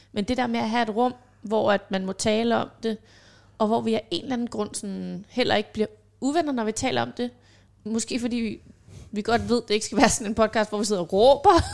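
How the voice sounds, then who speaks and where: A woman with a plain, everyday voice talks at a fairly quick pace and fairly high pitch on a very clean recording with a silent background. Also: ordinary pitch variation. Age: 30s. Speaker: self-employed mother, podcast guest. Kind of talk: casual chat.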